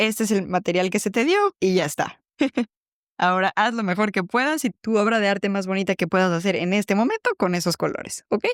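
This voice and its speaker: A woman speaks at a fairly quick pace with a Mexican accent. Her loudness stays very even, and the sound is dry and close with no echo. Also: medium pitch for a woman, ordinary pitch variation. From Mexico City. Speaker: podcast host, psychologist. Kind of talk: reflective personal podcast monologue.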